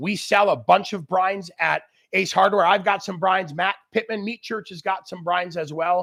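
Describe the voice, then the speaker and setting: The tone is animated and the pace moderate. The sound is dry and close, with no echo. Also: man. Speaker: grilling expert chef. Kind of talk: live cooking demo with Q&A. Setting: outdoor barbecue area, livestream. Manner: loud.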